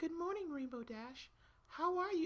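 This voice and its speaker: A squeaky, put-on character voice pitched extremely high. It moves along at a moderate pace. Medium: read story.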